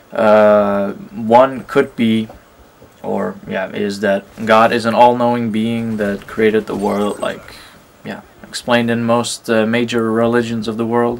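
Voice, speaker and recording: A man at a fairly slow pace, flat and monotone, over noticeable background noise. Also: medium pitch for a man. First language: not English. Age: 20s. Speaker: gaming YouTuber. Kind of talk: gameplay commentary with personal reflection. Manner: hesitant, many fillers.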